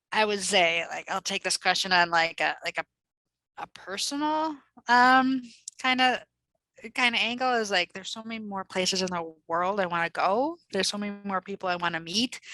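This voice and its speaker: With a Midwestern accent, a woman speaks in a bright, sharp tone and lively intonation. The recording is very clean, with a silent background and a dry, close sound with no echo. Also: medium pitch for a woman, moderate pace. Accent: Midwest. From US Midwest, Minnesota (Minneapolis suburbs). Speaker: development nonprofit executive. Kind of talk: interview. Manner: casual, halting with fillers.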